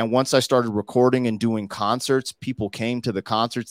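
A man speaks in a plain, everyday voice with fairly even intonation. His pace is fairly quick, and the recording is very clean with a silent background. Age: 40s. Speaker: rapper. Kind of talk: casual chat.

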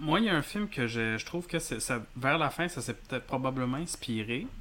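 A man with a plain, everyday voice speaks at a moderate pace and medium pitch, his intonation lively. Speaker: filmmaker and former film teacher. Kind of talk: casual chat.

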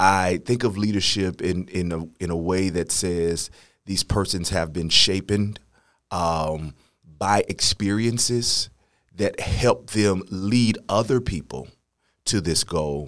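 In an American accent, a man with very deep, low pitch speaks at a very slow pace. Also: ordinary pitch variation, very clean recording, silent background. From St. Louis, Missouri. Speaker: education leader and church music director. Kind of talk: interview.

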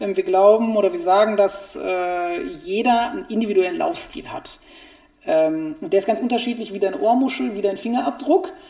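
Over noticeable background noise, a man with a high voice speaks at a moderate pace, his pitch swinging very widely. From Germany, Essen (Ruhr area). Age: 40s. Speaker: running shoe expert. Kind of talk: interview.

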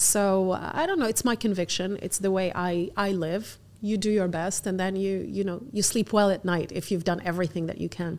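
A woman with a Lebanese accent, medium pitch, fairly even intonation and a moderate pace, on a very clean recording with a silent background. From Algeria, raised in Abu Dhabi, Lebanon and UAE. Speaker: fashion entrepreneur. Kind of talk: interview.

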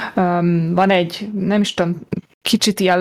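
Very slow speech from a woman, medium in pitch. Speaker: podcast host. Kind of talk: casual chat.

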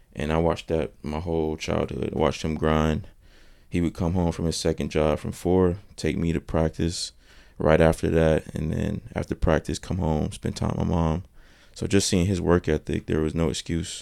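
A very deep, low-pitched man's voice with an American accent, a dark, mellow tone and fairly even intonation. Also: moderate pace. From North Carolina, Thomasville. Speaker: college basketball player. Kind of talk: casual chat.

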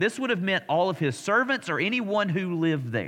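Against a quiet background, a man with an Alabama accent speaks at a fairly quick pace in a high pitch with lively intonation. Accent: Southern US (Alabama). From US South, Alabama. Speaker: pastor. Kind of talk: Bible study teaching. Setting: church. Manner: conversational.

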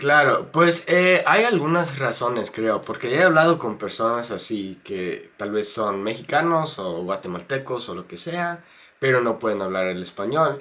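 With an English accent, a bright, sharp voice moves fairly slowly through very wide pitch swings. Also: man, medium pitch for a man. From United States. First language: English (speaking Spanish). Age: 20s. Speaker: YouTuber and Spanish learner. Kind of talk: interview. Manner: halting, many fillers and repeats.

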